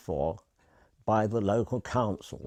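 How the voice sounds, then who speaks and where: Against a quiet background, a man with an English accent speaks at a very slow pace in a dark, mellow tone. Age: 80s+. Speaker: retired cab driver and carer's husband. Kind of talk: testimony.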